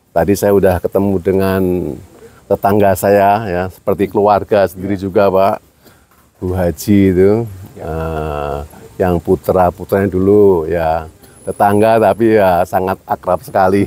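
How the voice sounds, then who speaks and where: A man speaks in a very deep, low voice. His pace is fairly slow. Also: dry, close sound with no echo. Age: 70s. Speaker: Islamic cleric and former karate organization leader. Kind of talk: casual chat. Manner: halting.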